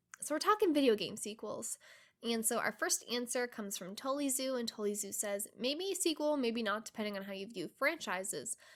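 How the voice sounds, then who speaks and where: A woman with a fairly high pitch talks at a fairly quick pace, her intonation lively. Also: very clean recording, silent background. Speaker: gaming podcast host. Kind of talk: casual podcast monologue. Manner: fast.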